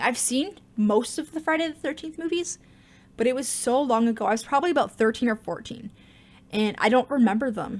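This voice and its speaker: A woman speaks with a Canadian accent. Her pace is very fast. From Canada. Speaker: gaming YouTuber. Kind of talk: live stream Q&A chat. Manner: fumbles and slurs words; casual, halting.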